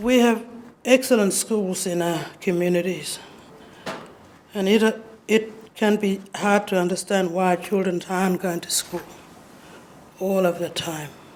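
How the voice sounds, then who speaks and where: At a fairly slow pace with long, frequent pauses, a woman of medium pitch speaks over noticeable background noise. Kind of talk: public lecture. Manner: halting.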